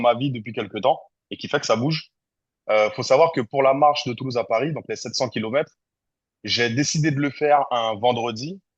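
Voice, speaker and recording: A man's very fast delivery at a medium pitch, with ordinary pitch variation and a quiet background. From French Guiana. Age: 30s. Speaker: content creator. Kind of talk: podcast interview. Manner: hesitant, many fillers.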